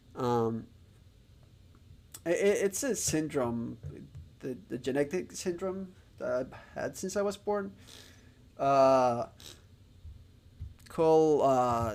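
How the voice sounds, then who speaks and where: A man with a Spanish accent talks at a fairly high pitch and a very slow pace. His intonation is lively, with long, frequent pauses. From Spain. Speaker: streamer learning Japanese. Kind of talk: live stream chat. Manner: halting, many fillers.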